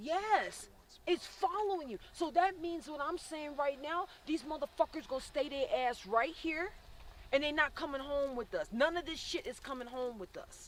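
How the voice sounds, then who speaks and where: A woman speaks in a high pitch with lively intonation at a moderate pace. Her loudness swings widely. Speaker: paranormal investigator. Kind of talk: on-site ghost investigation talk. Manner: halting, repeats words.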